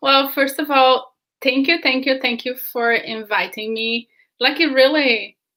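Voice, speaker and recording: A woman's high-pitched voice in a Brazilian Portuguese accent, with fairly even intonation and a fairly slow pace. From southern Brazil, Canoas near Porto Alegre. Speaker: film producer. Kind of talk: interview.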